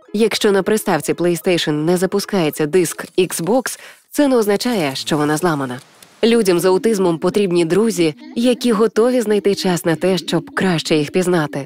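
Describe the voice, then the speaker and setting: A woman with a plain, everyday voice speaks at a medium pitch and a moderate pace. Her intonation is lively and her loudness very even. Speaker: radio host, announcer. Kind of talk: educational cartoon voice-over narration.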